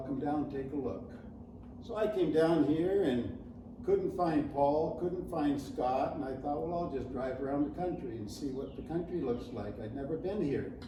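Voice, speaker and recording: A speaker with a Canadian accent talks at a moderate pace with ordinary pitch variation, and room echo is audible. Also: man. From Canada. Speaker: property developer. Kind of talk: interview.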